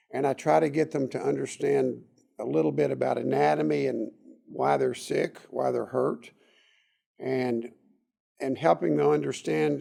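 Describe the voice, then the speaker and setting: Here a man talks with a Texas accent. His pace is fairly slow. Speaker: doctor. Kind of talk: interview.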